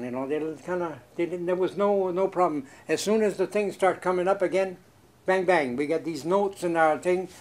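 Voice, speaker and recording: A man with a high voice speaks at a fairly quick pace, with ordinary pitch variation. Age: 70s. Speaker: mobile home park resident. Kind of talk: interview. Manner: agitated.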